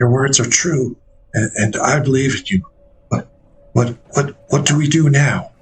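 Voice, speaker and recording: Putting on a raspy character voice, a man talks at a moderate pace and medium pitch, with long, frequent pauses. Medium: actual play.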